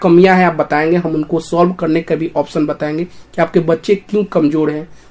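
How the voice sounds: Fairly quick and fairly even in intonation, this man's voice has a fairly high pitch and a slightly mellow tone.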